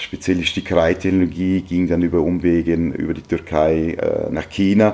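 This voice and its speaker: A man speaks at a moderate pace in a very deep, low voice with a dark, mellow tone. His intonation stays monotone and flat. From Austria, Vorarlberg (Lustenau). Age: 40s. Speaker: textile entrepreneur. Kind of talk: interview. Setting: guest's office.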